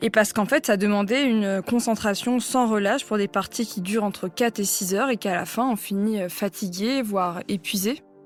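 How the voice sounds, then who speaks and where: A woman talks with hardly any pauses. Her pitch varies in an ordinary way. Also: medium pitch for a woman, fairly quick pace. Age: 20s. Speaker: chess player. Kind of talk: interview. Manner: hesitant, many fillers.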